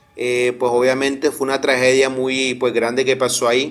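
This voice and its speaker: Music plays in the background while a man talks. His pitch is medium and his pace fairly quick. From Colombia, Barranquilla. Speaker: caller. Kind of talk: phone-in story.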